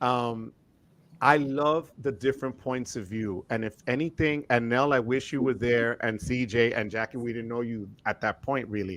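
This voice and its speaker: In a very clean recording with a silent background, a man talks at a moderate pace and medium pitch, using an ordinary speaking voice with ordinary pitch variation. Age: 50s. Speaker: credit card YouTuber. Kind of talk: casual chat.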